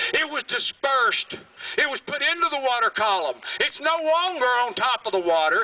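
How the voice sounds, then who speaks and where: A man's raised, projected voice with a Southern US accent, animated and passionate, with lively intonation, a bright, sharp tone and a moderate pace, dry with no echo. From US South, Alabama. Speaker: environmental activist, creek keeper. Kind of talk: rally speech, fiery and defiant, addressed to a crowd. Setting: stage with audience at rally. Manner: passionate, angry, loud, blunt and emphatic; animated, storytelling with vivid detail. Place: stage.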